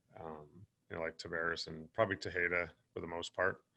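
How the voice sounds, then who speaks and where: A man speaks at a fairly quick pace with a very deep, low pitch and a bright, sharp tone. His intonation is monotone and flat. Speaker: baseball manager. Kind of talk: press conference.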